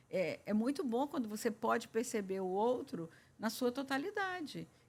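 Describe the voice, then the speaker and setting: The woman's voice is somewhat breathy, and her pitch varies in an ordinary way. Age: 70s. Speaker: family therapist and writer. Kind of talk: podcast interview.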